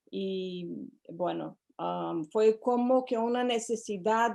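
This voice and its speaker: A woman speaks with a Portuguese accent in a dark, mellow tone. The background is quiet. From Brazil. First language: Portuguese (speaking Spanish). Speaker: psychotherapist. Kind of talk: interview. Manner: hesitant, with fillers.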